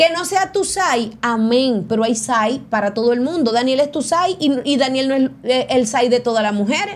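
In a high, animated voice with lively intonation, a woman talks at a moderate pace with hardly any pauses. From Venezuela. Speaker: entertainment news show host. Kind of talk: casual chat. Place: studio. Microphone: studio mic.

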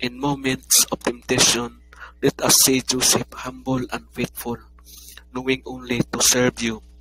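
Against noticeable background noise, the voice moves at a fairly slow pace with a solemn tone and monotone, flat intonation. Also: man, dry, close sound with no echo. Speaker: prayer leader. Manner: earnest, solemn, pleading; slow, measured, reverent.

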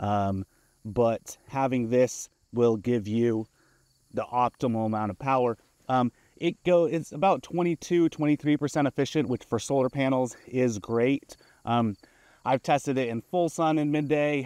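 A man talks at a fairly slow pace with ordinary pitch variation, his voice dry with no echo against a quiet background. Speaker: product reviewer. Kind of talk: product review demo. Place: open country.

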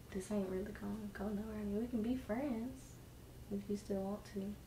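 Against light background noise and audible room echo, a woman speaks at a medium pitch with fairly even intonation. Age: young adult. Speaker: girlfriend of the host. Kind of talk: casual chat. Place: home room. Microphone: camera far.

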